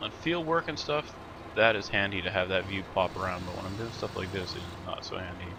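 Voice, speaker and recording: Over noticeable background noise, a man speaks fairly quickly, his pitch varying in an ordinary way. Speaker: gaming video creator. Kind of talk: let's play commentary. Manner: casual, halting.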